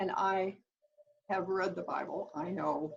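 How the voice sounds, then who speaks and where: Speaking very slowly, a woman uses a fairly low, somewhat breathy voice with fairly even intonation. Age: 80s+. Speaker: author. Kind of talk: interview. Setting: video call.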